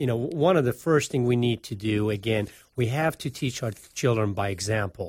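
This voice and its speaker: A man with a Persian accent speaks at a moderate pace in a medium pitch, somewhat breathy with ordinary pitch variation, on a very clean recording with a silent background. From Iran. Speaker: financial advisor. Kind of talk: casual chat. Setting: studio.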